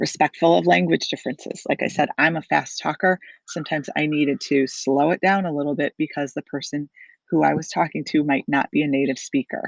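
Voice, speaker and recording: Recorded dry and close with no echo over a quiet background, a woman with vocal fry and a very deep, low pitch talks at a fairly quick pace with ordinary pitch variation. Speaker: college instructor. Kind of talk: lecture. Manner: casual, with fillers.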